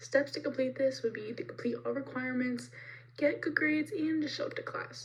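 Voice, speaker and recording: A woman's fairly quick speech is accompanied by music in the background. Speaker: college student. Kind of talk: class presentation.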